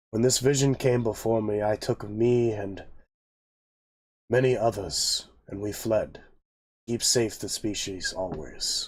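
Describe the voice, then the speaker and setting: Putting on a character voice at medium pitch, a man speaks fairly slowly with long, frequent pauses on a very clean recording with a silent background. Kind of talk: fantasy epic speech. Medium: actual play. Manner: formal, stately.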